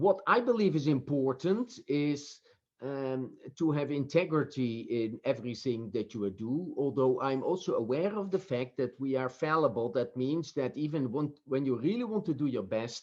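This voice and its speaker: The man's pitch is fairly high. He talks at a moderate pace with lively intonation. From Netherlands. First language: Dutch. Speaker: professor. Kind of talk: interview. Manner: halting.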